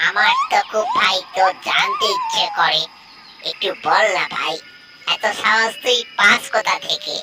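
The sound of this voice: A cartoonish character voice with a fairly high pitch moves at a fairly slow pace over loud background noise.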